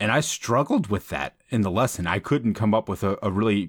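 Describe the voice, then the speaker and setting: A man with a plain, everyday voice speaks at a fairly quick pace in a fairly low pitch with ordinary pitch variation, recorded very cleanly against a silent background with a dry, close sound and no echo. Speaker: trumpet player and teacher. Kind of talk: casual podcast discussion.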